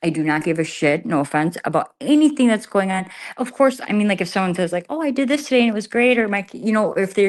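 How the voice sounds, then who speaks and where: Very fast speech with lively intonation comes through a very clean recording against a silent background. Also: woman. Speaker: live streamer. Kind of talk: casual chat. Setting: livestream from an empty garage. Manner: trying to keep voice down.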